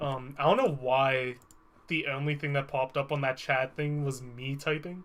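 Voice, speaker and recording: At a moderate pace, a man speaks in a fairly high pitch. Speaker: video game streamer. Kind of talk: casual live stream chat. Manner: loud.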